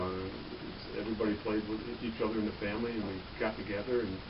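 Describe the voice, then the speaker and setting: A man talks at a fairly quick pace, with audible room echo and noticeable background noise around him. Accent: American. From Michigan, Detroit area. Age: 50s. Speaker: police officer. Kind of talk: interview. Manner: halting, many fillers.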